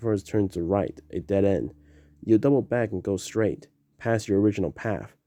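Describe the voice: This is plain reading aloud. Its intonation stays fairly even.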